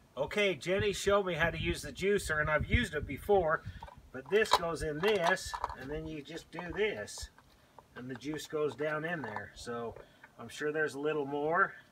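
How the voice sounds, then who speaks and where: A man talks at a moderate pace, his loudness swinging widely. Noticeable background noise sits behind him. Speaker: home cook host. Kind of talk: cooking tutorial. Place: garden. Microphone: camera far.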